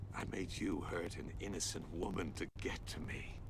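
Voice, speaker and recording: A man's put-on character voice at a moderate pace, under loud background noise. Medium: video game. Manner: theatrical, taunting.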